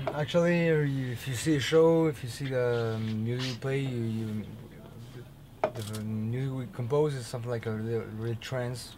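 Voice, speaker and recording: A man's medium-pitched voice in a French accent, at a moderate pace with ordinary pitch variation and audible room echo. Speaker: metal band member. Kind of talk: interview. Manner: halting.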